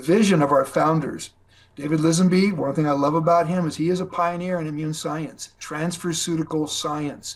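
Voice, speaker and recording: A man talks with an ordinary speaking voice, at a fairly high pitch, a moderate pace and fairly even intonation. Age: 60s. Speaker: network marketing distributor. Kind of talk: business presentation. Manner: casual, conversational.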